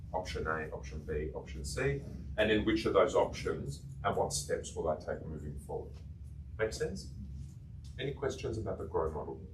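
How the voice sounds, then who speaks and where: A man talks at a moderate pace. His voice carries audible room echo. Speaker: coaching trainer. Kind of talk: workshop lecture.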